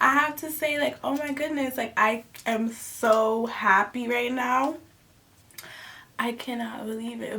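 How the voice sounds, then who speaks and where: Over noticeable background noise, a woman speaks with a high pitch and an animated tone. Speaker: YouTube storyteller. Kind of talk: storytime vlog, casual chat.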